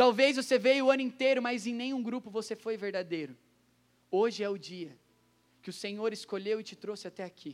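A man speaks at a high pitch and a fairly quick pace in an animated tone, with big swings in loudness. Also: ordinary pitch variation. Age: 20s. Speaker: prayer group coordinator and preacher. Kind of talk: sermon.

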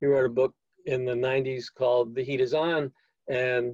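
A man with an American accent speaks at a fairly slow pace in a medium pitch, somewhat breathy, with monotone, flat intonation. The sound is dry and close, with no echo. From US Northeast, New York City. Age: 70s. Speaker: climate nonprofit director. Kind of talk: interview conversation.

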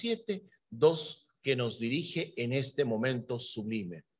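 A somewhat breathy voice with ordinary pitch variation. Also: man. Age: 50s. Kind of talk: sermon.

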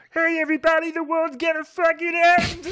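The pitch is extremely high. It belongs to a put-on character voice. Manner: loud, crude, cheerfully announcing the end of the world.

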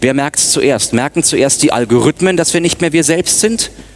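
A man talks at a moderate pace with lively intonation and a fairly high pitch. Noticeable background noise runs behind him. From Munich, Bavaria. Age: 30s. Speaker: media consultant and former radio newsreader. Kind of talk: conference talk.

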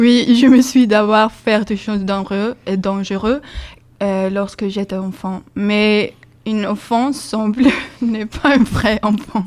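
A woman with a Swedish accent speaks very slowly at a fairly high pitch, her intonation fairly even. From Sweden. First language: Swedish (speaking French). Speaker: student volunteer. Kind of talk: casual radio chat.

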